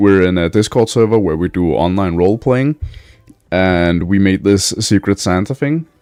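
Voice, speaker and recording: A man with a Danish accent and a very deep, low pitch, at a moderate pace, with lively intonation and very even loudness. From Denmark. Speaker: streamer. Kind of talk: live game stream chat. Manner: halting.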